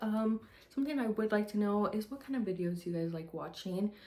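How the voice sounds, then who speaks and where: Noticeable background noise beneath a woman's speech, its pitch variation ordinary. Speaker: cross stitch hobbyist vlogger. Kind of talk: casual vlog talk to camera. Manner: hesitant, many filler ums.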